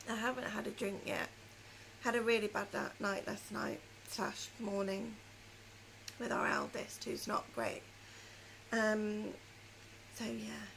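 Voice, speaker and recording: With a British accent, a woman talks at a fairly slow pace, leaving long, frequent pauses. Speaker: knitting and crochet podcaster. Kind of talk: casual chat.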